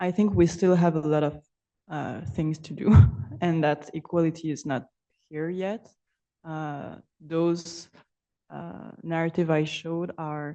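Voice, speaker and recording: Her voice is fairly low with a dark, mellow tone, moving at a fairly slow pace with long, frequent pauses. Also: big swings in loudness. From Belgium (Brussels). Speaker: artist and PhD researcher. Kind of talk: conference Q&A answer. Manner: halting.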